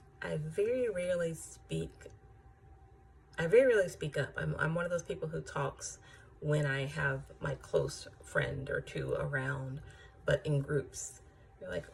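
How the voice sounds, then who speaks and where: A woman with an American accent talks at a fairly slow pace, leaving long, frequent pauses. Noticeable background noise is present. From southern US. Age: 40s. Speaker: vlogger with kidney disease. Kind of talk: personal vlog. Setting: at home. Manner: many filler sounds.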